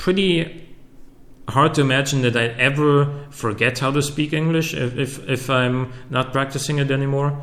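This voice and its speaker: Audible room echo surrounds a man with a German accent, speaking at a fairly slow pace with very even loudness. His pitch is fairly high, and his intonation fairly even. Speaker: YouTuber. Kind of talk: Q&A video. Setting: home recording with facecam. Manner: halting, many fillers and repetitions.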